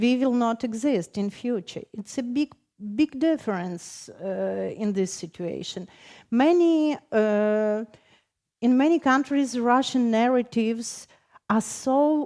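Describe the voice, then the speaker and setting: In a Ukrainian accent, a woman talks at a very slow pace with lively intonation and a fairly high pitch. Her tone is dark and mellow, and the recording is very clean with a silent background. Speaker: poet. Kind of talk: panel discussion. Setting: stage with audience. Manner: halting.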